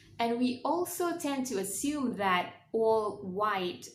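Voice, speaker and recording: With lively intonation, a woman speaks against noticeable background noise and audible room echo. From Malaysia. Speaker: travel vlogger. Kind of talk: casual vlog talk to camera.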